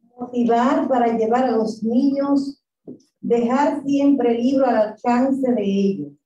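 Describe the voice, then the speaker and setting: A woman speaks very slowly in a high pitch, her tone dark and mellow and her loudness very even. Light background noise and audible room echo surround her. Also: ordinary pitch variation. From Dominican Republic. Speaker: professor. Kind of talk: lecture. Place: hall.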